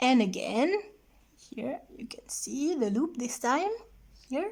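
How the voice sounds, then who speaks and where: A high-pitched woman with a non-native accent and very wide pitch swings. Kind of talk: craft tutorial.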